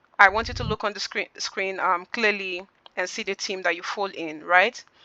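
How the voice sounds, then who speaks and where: A woman talks at a medium pitch. Her tone is bright and sharp. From Nigeria. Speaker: customer service trainer. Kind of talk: online training session. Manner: fast.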